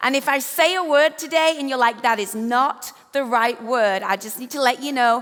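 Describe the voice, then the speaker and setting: Speaking in an English accent, a high-pitched woman sounds animated, with ordinary pitch variation. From England. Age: 50s. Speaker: author and leadership speaker. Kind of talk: keynote speech. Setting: stage with audience.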